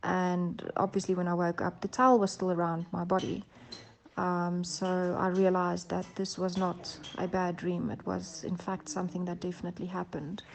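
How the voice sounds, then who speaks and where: Speaking with a South African accent, a woman talks at a moderate pace and fairly low pitch, with monotone, flat intonation. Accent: Afrikaans South African English. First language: Afrikaans. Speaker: abduction experiencer. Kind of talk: testimony. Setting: recorded voice notes. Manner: halting, many fillers.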